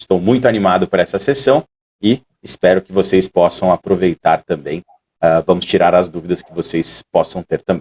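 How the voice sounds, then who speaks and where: A man's very deep, low voice with a Brazilian accent, at a moderate pace with ordinary pitch variation and big swings in loudness, recorded dry and close with no echo. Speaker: trainer. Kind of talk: training session.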